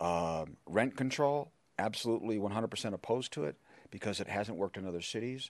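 A man talks at a moderate pace in a plain, everyday voice, pitched fairly low, with an American accent. The background is quiet. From Chicago, Illinois. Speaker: political candidate. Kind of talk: candidate debate. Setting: stage with audience.

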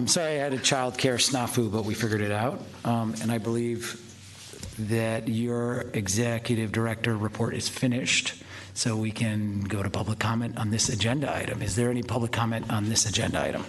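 At a fairly quick pace, a man with a medium pitch talks in a monotone, flat way over noticeable background noise. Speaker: commission president chairing a public meeting. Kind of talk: formal meeting procedure mixed with casual asides.

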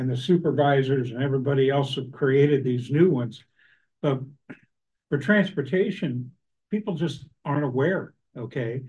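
A man speaks at a moderate pace and medium pitch. His voice is somewhat breathy. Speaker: citizens oversight committee member. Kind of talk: committee meeting discussion. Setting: hybrid public meeting room.

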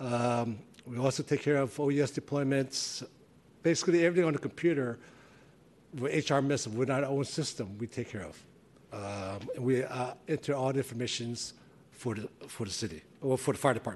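At a moderate pace, a man talks in an unremarkable speaking voice at medium pitch with ordinary pitch variation. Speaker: fire captain, personnel. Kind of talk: formal report to a commission.

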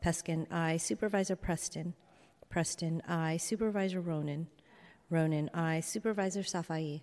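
A woman speaks in a plain, everyday voice at a fairly low pitch and a moderate pace. Her loudness is very even, her intonation fairly even, and the background quiet. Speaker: board clerk. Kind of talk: formal meeting proceedings. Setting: city hall legislative chamber.

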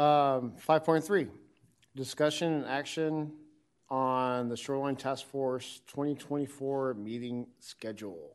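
In an ordinary speaking voice, a man talks at a fairly slow pace. His pitch is fairly high with ordinary pitch variation. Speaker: committee chairperson running meeting. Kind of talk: formal meeting, casual tone. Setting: public committee meeting room.

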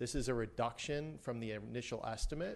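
At a moderate pace, an ordinary speaking voice talks with ordinary pitch variation. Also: man. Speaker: municipal finance presenter. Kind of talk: formal presentation.

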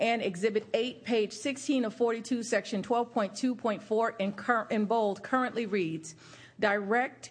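Fairly high and somewhat breathy, a woman's voice proceeds at a very slow pace. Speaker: county mayor chairing meeting. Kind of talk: public meeting chairing. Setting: council chambers.

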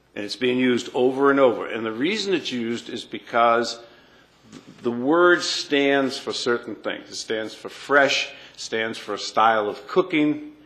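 A man with an ordinary speaking voice talks at a fairly slow pace. His pitch is medium, with ordinary variation. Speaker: council member. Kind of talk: formal public meeting.

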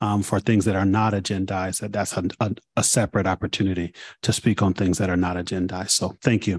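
A man with an ordinary speaking voice, fairly low pitch, fairly even intonation and a fairly quick pace, dry and close with no echo over a quiet background. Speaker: committee chair. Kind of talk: public meeting chairing. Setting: city hall meeting room. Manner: formal.

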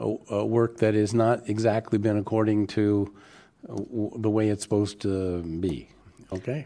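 A man at medium pitch with an ordinary speaking voice, fairly even intonation and a fairly slow pace. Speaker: board president chairing a public hearing. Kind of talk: public hearing deliberation. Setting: hearing room with microphones.

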